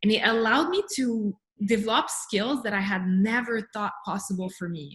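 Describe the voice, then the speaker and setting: A woman with a Montreal accent, fairly high in pitch, with ordinary pitch variation at a moderate pace. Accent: French Canadian (Montreal). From Quebec, Montreal. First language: French. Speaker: life and business coach. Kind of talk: interview.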